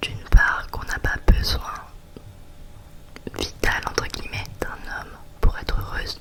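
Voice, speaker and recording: A whisper at a fairly slow pace over noticeable background noise. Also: woman. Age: 20s. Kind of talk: ASMR chit-chat. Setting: close to the microphone. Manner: whispered.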